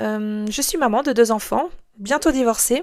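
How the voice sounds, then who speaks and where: Recorded very cleanly against a silent background, a woman with a slight Swiss French accent speaks at a fairly slow pace in a fairly high pitch. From Switzerland (moved from France at six). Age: 40s. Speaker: podcast host, life coach. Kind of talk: podcast monologue. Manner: hesitant, many fillers.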